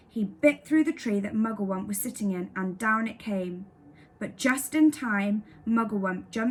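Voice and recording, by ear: In a natural voice with ordinary pitch variation, a passage is read aloud.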